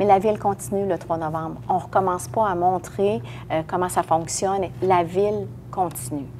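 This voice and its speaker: A woman speaks in a plain, everyday voice, fairly low-pitched for a woman, at a moderate pace with lively intonation. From Quebec, Lévis area. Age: 60s. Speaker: municipal politician, mayoral candidate. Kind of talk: interview. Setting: podcast recording.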